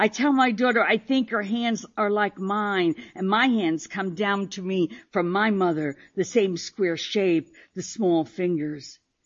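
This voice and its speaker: A woman with a normal speaking voice talks at a fairly slow pace in a medium pitch, with ordinary pitch variation. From Paterson, New Jersey (Italian-American family). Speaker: poet. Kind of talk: poetry reading. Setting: stage with audience.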